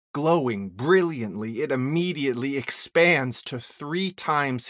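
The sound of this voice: What you hear is an unforced reading voice. The reading stays that way throughout.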